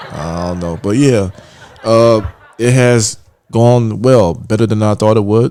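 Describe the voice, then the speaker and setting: Long, frequent pauses from a man with a fairly low voice and ordinary pitch variation. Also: fairly slow pace. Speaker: podcast co-host. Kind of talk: casual chat.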